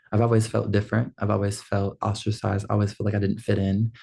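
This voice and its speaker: A man's fairly low, somewhat breathy voice, dark and mellow in tone, flat and monotone at a fairly quick pace, over a quiet background. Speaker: film school graduate vlogger. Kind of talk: casual vlog monologue.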